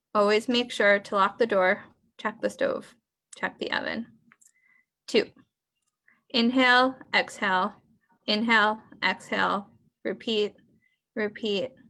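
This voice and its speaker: Speaking at a fairly slow pace with long, frequent pauses, a woman uses a fairly high, bright, sharp voice with vocal fry and fairly even intonation. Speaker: workshop participant, poet. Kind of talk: reading aloud. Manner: halting.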